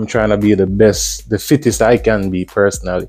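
Faint music plays in the background as a man speaks with a fairly low pitch. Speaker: fitness vlogger. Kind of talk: casual vlog chat. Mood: upbeat, relaxed. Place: gym. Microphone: lapel.

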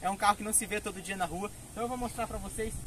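A man speaks with fairly even intonation. The sound is dry with no echo, with light background noise. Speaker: car video host. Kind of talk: casual vlog chat. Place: street. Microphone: camera far.

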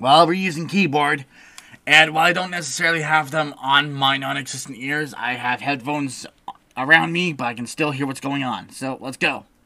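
In a put-on character voice, the speech sits at a low-to-middle pitch and a moderate pace. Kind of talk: let's play commentary. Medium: game stream. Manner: casual, wisecracking, easily startled.

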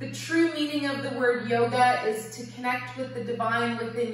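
A woman talks at a moderate pace. There is strong room echo and light background noise. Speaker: yoga teacher. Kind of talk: guided yoga and meditation class. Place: home room. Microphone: camera far.

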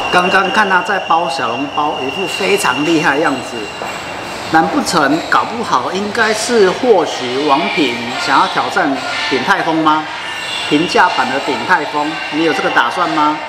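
A man at a fairly slow pace, with ordinary pitch variation and loud background noise. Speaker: food vlogger. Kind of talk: casual food review chat. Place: cafe. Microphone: phone near.

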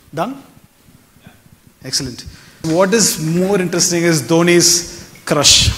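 A fairly slow pace with long, frequent pauses, ordinary pitch variation, and big swings in loudness. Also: man, high pitch for a man. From South India, Chennai. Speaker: stage magician / mentalist; event host. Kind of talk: stage magic performance. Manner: animated. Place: stage. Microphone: lapel.

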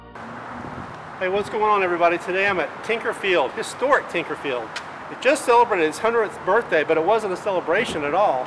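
A man talks at a fairly quick pace with a high pitch. Noticeable background noise runs throughout. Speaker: urban explorer vlogger. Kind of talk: casual vlog chat. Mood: wistful about the park. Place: stadium. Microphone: phone near.

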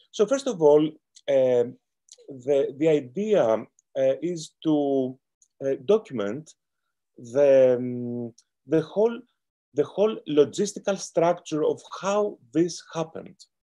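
Against a quiet background, a man with a Greek accent speaks very slowly with long, frequent pauses, a fairly high pitch, lively intonation, and a dark, mellow tone. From Greece. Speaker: lawyer. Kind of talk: panel talk. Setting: video call. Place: home room. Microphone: webcam.

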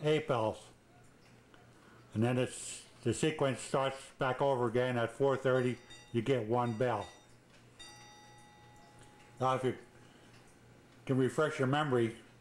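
A man talks at a fairly slow pace with long, frequent pauses. His intonation stays fairly even and his loudness very even. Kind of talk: tutorial. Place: home room. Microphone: old recording.

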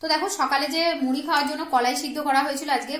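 Audible room echo surrounds a woman speaking with fairly even intonation. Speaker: home cook vlogger. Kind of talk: casual vlog chat. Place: kitchen. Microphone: phone near.

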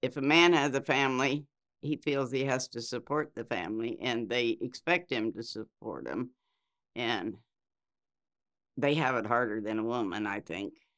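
A woman speaks with a Midwestern American accent at a moderate pace. She leaves long, frequent pauses against a quiet background. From US Midwest, Iowa. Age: 70s. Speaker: interviewee. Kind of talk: life story interview; interview answer. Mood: reflective, calm. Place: studio.

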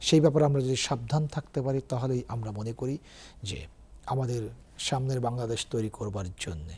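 At medium pitch, a man speaks in a somewhat breathy voice with a dark, mellow tone and ordinary pitch variation. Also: very clean recording, silent background. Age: 50s. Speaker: university professor. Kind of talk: TV interview. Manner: formal.

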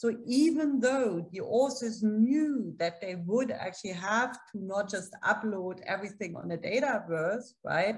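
A somewhat breathy voice with lively intonation, a fairly slow pace and a quiet background. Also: woman, fairly high pitch for a woman, big swings in loudness. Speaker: political science professor and journal editor; political science professor. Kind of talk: academic panel discussion. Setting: video call. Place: home room. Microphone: webcam.

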